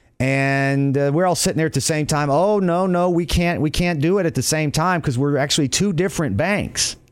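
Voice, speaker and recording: In a normal speaking voice, a man talks fairly quickly with hardly any pauses, a fairly high pitch, ordinary pitch variation and very even loudness. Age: 30s. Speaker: radio host, real estate broker. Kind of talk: radio talk show.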